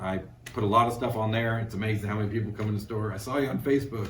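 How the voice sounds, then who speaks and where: A man talks at a very fast pace. His pitch is fairly low, and the room echo is audible. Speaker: screen printing business owner. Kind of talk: casual interview. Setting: on location at a store. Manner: hesitant, many fillers.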